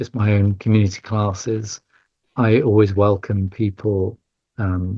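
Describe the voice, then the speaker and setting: A man's fairly low voice at a fairly slow pace. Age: 60s. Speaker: yoga teacher and charity head. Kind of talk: podcast interview. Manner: halting, many fillers and repeats.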